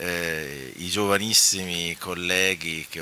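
Light noise hums in the background. A man speaks at a very deep, low pitch, the sound dry with no echo. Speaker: architect and urban planning historian, lecturer. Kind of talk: conference talk. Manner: soft-spoken; halting. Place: hall. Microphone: podium.

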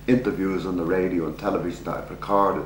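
A man speaks very fast in a very deep, low pitch. Audible room echo and light background noise surround his voice. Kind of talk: interview answer. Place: home room.

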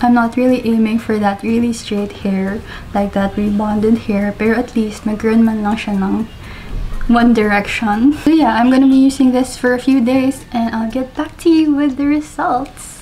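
A woman at a fairly slow pace with fairly even intonation, over light background noise. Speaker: beauty vlogger. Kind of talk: casual vlog chat. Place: home room. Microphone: phone near.

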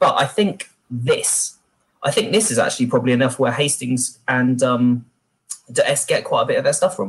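A man at a moderate pace, with a British accent. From Britain. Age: 30s. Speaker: military historian. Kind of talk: panel discussion. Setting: video call. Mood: wry, animated. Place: home room. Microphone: webcam.

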